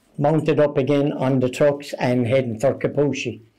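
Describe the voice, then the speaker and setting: A man with a Limerick accent talks at a medium pitch in a dark, mellow tone with fairly even intonation. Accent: Irish (Limerick). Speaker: retired army sergeant, UN peacekeeping veteran. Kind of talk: interview answer, war memories.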